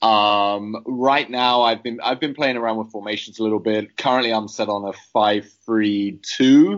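In a British accent, the speech moves at a fairly slow pace with hardly any pauses and fairly even intonation. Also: man, medium pitch for a man. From Britain. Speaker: fantasy football player. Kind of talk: casual chat.

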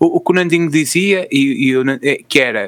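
A man's bright, sharp tone comes with ordinary pitch variation. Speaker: podcast co-host. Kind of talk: casual chat.

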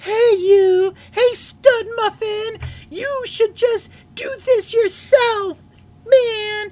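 In a put-on character voice, someone speaks at an extremely high pitch and a very slow pace. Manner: sassy, mocking.

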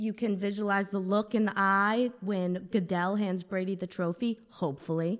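A woman with an American accent has an ordinary speaking voice at a medium pitch, talking at a moderate pace with fairly even intonation and hardly any pauses. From Boston. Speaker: podcast co-host. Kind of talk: casual chat.

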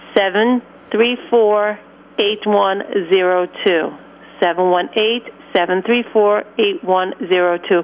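A woman speaks at a medium pitch. Noticeable noise sits in the background. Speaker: caller. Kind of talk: phone-in. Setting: phone call.

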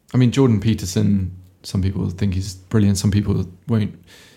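A somewhat breathy man's voice, fairly low, with a dark, mellow tone. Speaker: podcast host. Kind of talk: casual chat.

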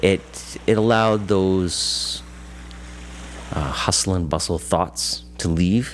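The speaker goes at a very slow pace with long, frequent pauses and very wide pitch swings. Background noise is noticeable. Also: man, very deep, low pitch for a man. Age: 40s. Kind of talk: interview testimony. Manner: halting, with fillers.

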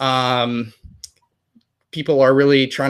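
This man's voice sits at a medium pitch, captured in a very clean recording with a silent background. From United States. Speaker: news anchor. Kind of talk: interview. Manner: halting, many fillers.

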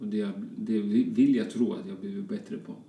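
At a moderate speed, the talking carries audible room echo over noticeable background noise. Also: man. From Colombia, Bogotá, moved to Sweden young. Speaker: fashion designer. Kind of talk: casual interview chat.

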